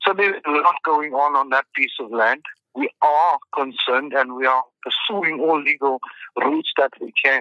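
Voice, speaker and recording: A man with a normal speaking voice talks at a fairly high pitch with ordinary variation. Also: moderate pace. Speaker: municipal mayor. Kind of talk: formal interview. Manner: formal.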